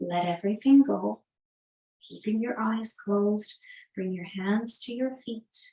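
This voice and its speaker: Somewhat breathy, a woman speaks at a fairly slow pace and a fairly high pitch with fairly even intonation. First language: not English. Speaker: yoga teacher. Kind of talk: guided yoga class. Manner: calm, instructive.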